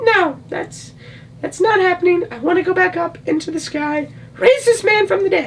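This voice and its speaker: A man uses a put-on character voice at an extremely high pitch, with clear background noise behind him. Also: moderate pace. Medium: solo performance.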